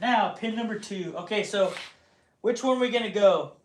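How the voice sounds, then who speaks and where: There is audible room echo as a man speaks at a moderate pace. His intonation is fairly even. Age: 40s. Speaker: woodturner streaming live. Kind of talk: casual live stream chat.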